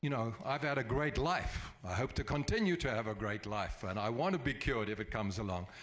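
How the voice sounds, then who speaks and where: Here a man has an unremarkable speaking voice, medium in pitch, with lively intonation at a moderate pace. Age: 60s. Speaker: charity event organizer. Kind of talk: public meeting address.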